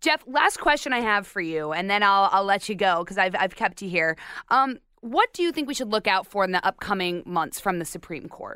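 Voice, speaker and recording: A woman with an American accent and a bright, sharp tone at a fairly quick pace, recorded very cleanly with a silent background and a dry, close sound with no echo. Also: medium pitch for a woman, lively intonation. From Arizona. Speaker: podcast host. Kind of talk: interview.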